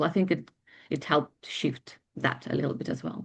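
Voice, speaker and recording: A woman with a non-native accent. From Ukraine. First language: not English (eighth language). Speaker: bridal makeup artist and hairstylist. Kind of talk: client testimonial interview. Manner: fast.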